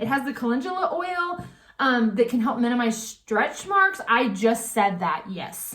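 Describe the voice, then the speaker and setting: Fairly high in pitch, a woman talks at a moderate pace in a normal speaking voice. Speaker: beauty product sales rep. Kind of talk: sales pitch. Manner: casual.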